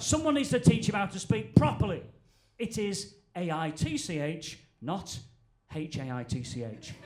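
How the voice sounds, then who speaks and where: With a Northern English accent, the speaker moves at a moderate pace through very wide pitch swings and big swings in loudness, over noticeable background noise. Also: man, fairly high pitch for a man. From Northern England. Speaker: stand-up comedian. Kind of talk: stand-up comedy set.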